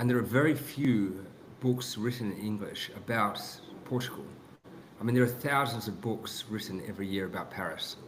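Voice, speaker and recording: Audible room echo fills the space as a man with a New Zealand accent speaks. His pitch is medium with ordinary variation, and his pace is moderate. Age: 30s. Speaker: author. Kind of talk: podcast interview. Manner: halting, many restarts.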